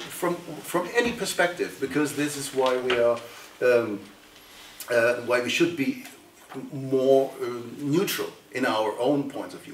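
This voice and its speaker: A man speaks with a German accent at a fairly slow pace, leaving long, frequent pauses. His pitch varies in an ordinary way, and the recording has noticeable background noise and audible room echo. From Germany. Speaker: politician and author. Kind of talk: panel discussion. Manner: halting.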